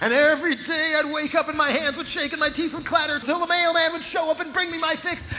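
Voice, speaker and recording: Over music in the background, a man with an extremely high pitch uses a raised, projected voice. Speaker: spoken word performer. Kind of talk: live spoken word performance. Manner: sarcastic, impassioned.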